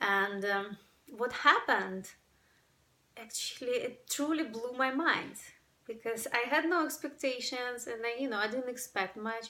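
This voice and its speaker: With a Ukrainian accent, a woman speaks in a bright, sharp tone with ordinary pitch variation. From Ukraine. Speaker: breathwork workshop facilitator. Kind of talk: personal testimony to camera.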